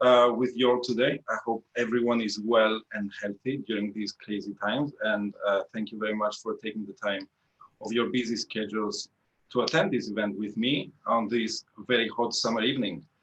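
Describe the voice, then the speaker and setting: Speaking with a Greek accent, a man talks at a moderate pace and medium pitch. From Greece, Athens. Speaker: engineering manager, tech talk speaker. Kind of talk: tech talk presentation. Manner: hesitant, many fillers.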